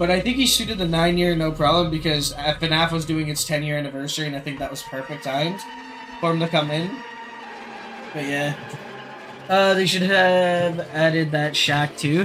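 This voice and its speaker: A man's fairly high voice at a moderate pace, with long, frequent pauses and music in the background. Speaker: video game streamer. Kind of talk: casual live stream commentary. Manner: animated.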